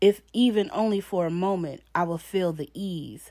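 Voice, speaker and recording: In a normal speaking voice, a woman talks at a fairly low pitch with ordinary pitch variation, on a very clean recording with a silent background. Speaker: poet. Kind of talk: spoken-word poem performed, confessional and rhythmic with rhyme. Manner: intense, emotional, delivered in a rhythmic cadence; raw and pained, with a defiant edge.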